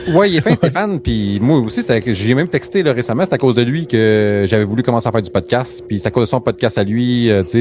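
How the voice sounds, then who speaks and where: A man at a very fast pace with a Quebec accent, medium pitch and ordinary pitch variation, music in the background. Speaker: podcast host. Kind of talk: casual chat.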